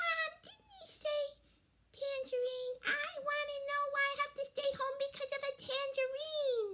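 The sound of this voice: A woman puts on a character voice. It is pitched extremely high and delivered at a fairly slow pace.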